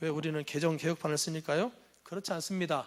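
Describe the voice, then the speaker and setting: A man speaks with a slight Jeolla accent. His voice is high-pitched. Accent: slight Jeolla intonation. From Jeolla province, South Korea. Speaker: anti-cult lecturer, former cult member. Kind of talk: lecture.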